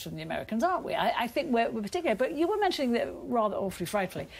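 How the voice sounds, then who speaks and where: Pitch swinging very widely, with noticeable background noise. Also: woman. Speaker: panelist on debate show. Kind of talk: panel debate.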